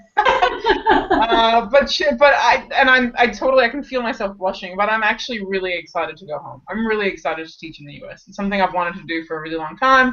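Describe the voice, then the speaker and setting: A woman speaks very fast in a fairly high voice, with hardly any pauses and very wide pitch swings. Her loudness swings a lot, and background noise is noticeable. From US West Coast, Los Angeles. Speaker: cake decorating business teacher. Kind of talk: casual interview chat. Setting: live online stream.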